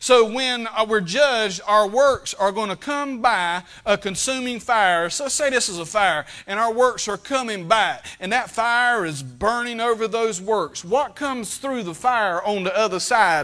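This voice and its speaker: A man's raised, projected voice, high for a man, bright and sharp in tone, at a fairly slow pace against a quiet background. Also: ordinary pitch variation. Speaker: preacher. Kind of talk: sermon. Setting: church. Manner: plainspoken, fervent Baptist pulpit delivery. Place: church.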